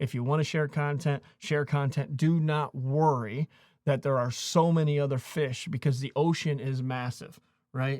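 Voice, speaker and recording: A man with an unremarkable speaking voice talks at a moderate pace, fairly high in pitch and fairly even in intonation, on a very clean recording with a silent background. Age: 40s. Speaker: YouTube creator and coach. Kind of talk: casual talk to camera. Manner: motivational, conversational.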